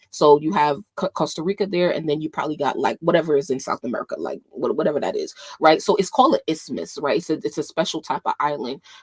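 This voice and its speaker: A woman speaks at a very fast pace with hardly any pauses, in a dry, close sound with no echo. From New York, of Panamanian family. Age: 20s. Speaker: YouTube commentator. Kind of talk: casual livestream chat. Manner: many fillers and restarts.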